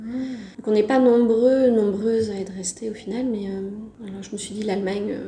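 Speaking with fairly even intonation and a fairly high pitch, a woman is heard amid noticeable background noise and audible room echo. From France, Brittany. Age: 30s. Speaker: French language teacher, expatriate. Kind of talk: casual interview testimony. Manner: hesitant, with fillers.

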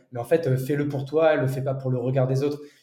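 A man talks with a fairly high pitch. Room echo is audible. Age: 30s. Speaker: entrepreneur. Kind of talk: casual interview conversation. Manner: hesitant, many fillers and repetitions.

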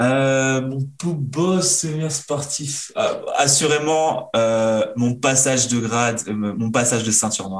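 Speaking at a very slow pace with hardly any pauses, a man keeps a medium pitch. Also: ordinary pitch variation. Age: 30s. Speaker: karate athlete and mental coach. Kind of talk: interview.

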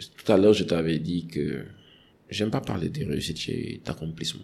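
A man with a very deep, low voice and vocal fry speaks at a fairly slow pace, his pitch swinging very widely. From Senegal, Dakar. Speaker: HSE manager and environmental activist. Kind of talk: podcast interview.

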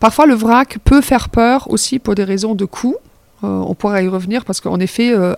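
In a dry, close sound with no echo, a woman speaks at a moderate pace with a slight German accent. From Germany. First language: German (speaking French). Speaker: circular economy project director. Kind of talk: interview.

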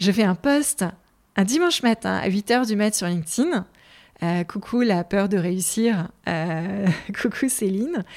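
A woman speaks at a medium pitch with lively intonation. Her pace is very slow. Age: 40s. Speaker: podcaster, former marketing director. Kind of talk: unscripted solo monologue. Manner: halting, many repetitions and fillers.

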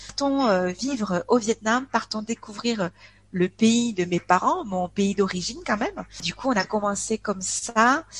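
A woman speaks very slowly at a fairly high pitch, sounding somewhat breathy. Her pitch varies in an ordinary way, and the sound is dry and close with no echo. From France, Aveyron (rural south-west). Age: 40s. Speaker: expat interviewee. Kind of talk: casual interview chat. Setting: online call, poor connection. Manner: cheerful; hesitant, many fillers.

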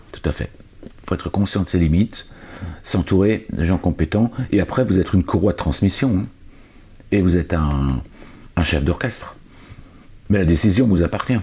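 The voice is somewhat breathy, with a dark, mellow tone. Long, frequent pauses break up the speech. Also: man, very deep, low pitch for a man, ordinary pitch variation, moderate pace. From Alsace, France. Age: 50s. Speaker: entrepreneur. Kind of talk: interview.

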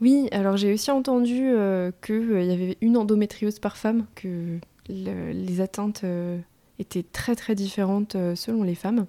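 A woman talks at a fairly slow pace in a medium pitch with fairly even intonation. The recording is very clean, with a silent background. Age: 30s. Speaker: endometriosis patient, works in environmental innovation. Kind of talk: interview testimony. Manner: spontaneous, talkative; hesitant, many fillers.

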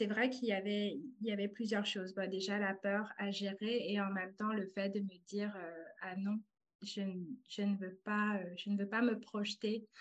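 At a very slow pace, a woman talks at a medium pitch in a monotone, flat intonation. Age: 30s. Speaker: translator turned artist. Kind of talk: testimony. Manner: halting.

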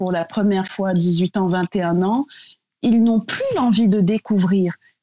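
With a somewhat breathy voice, a woman talks at a fairly slow pace. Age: 30s. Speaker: beauty brand founder. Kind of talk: casual interview.

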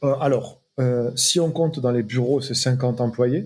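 Somewhat breathy, a man talks at a fairly slow pace and medium pitch with ordinary pitch variation. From southwest France, small village. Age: 40s. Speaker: music concert producer. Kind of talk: interview. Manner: hesitant, many fillers and repetitions.

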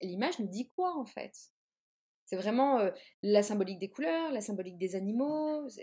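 The woman's fairly high voice has a dark, mellow tone and very wide pitch swings, moving at a moderate pace with long, frequent pauses. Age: 30s. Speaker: tarot reader and artist. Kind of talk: interview. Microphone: sound problems, noises and lag.

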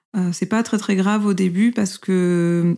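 Her tone dark and mellow, a woman talks at a fairly slow pace and medium pitch, recorded very cleanly against a silent background. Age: 30s. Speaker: mother sharing breastfeeding story. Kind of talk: personal testimony.

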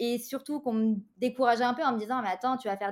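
A woman talks fairly quickly, with ordinary pitch variation. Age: 30s. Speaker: interior decorator and business mentor. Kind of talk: interview.

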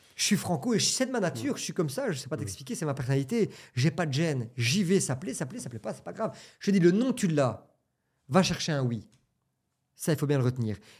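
A man's fairly high, somewhat breathy voice at a fairly quick pace, with very wide pitch swings, big swings in loudness and long, frequent pauses, on a very clean recording with a silent background. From Belgium. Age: 30s. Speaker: entrepreneur. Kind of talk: casual chat.

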